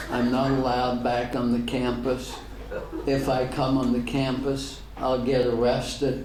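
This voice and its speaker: Speaking at a very slow pace and medium pitch, a man with an American accent is heard through audible room echo and noticeable background noise. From Northern Ireland. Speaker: pastor. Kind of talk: public talk with Q&A.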